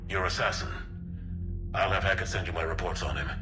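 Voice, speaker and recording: A man's put-on character voice at a very fast pace over loud background noise. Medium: machinima. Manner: gruff, blunt.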